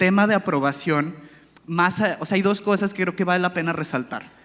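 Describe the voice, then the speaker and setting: A man's high voice, ordinary in pitch variation and moderate in pace. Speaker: panelist. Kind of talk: panel discussion.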